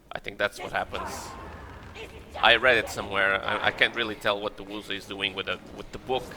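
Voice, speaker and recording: With a non-native accent, a man speaks fairly quickly at a fairly low pitch in a flat monotone, his loudness swinging widely over noticeable background noise. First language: not English. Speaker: gaming YouTuber. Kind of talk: let's play commentary. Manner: casual, hesitant with fillers.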